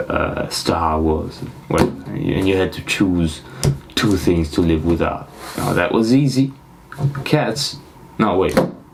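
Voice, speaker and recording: The speaker goes at a fairly slow pace with long, frequent pauses against noticeable background noise. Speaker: podcast host. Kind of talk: casual solo podcast monologue. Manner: halting.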